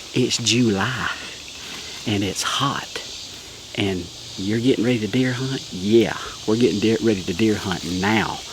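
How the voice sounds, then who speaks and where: A man with a Southern US accent and a fairly low voice speaks at a fairly slow pace, with ordinary pitch variation and long, frequent pauses. Noticeable background noise and audible room echo surround him. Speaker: pastor. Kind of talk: casual vlog. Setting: outdoors in the woods.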